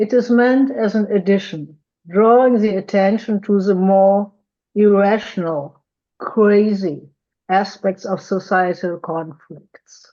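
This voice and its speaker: Her pace is very slow. The woman's voice has a dark, mellow tone. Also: medium pitch for a woman, ordinary pitch variation. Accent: strong German. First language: German. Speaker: psychotherapist. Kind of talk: conference lecture. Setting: video call.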